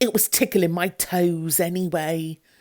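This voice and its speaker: A woman's put-on character voice, fairly low in pitch, at a moderate pace. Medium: read story. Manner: cheerful, sing-song.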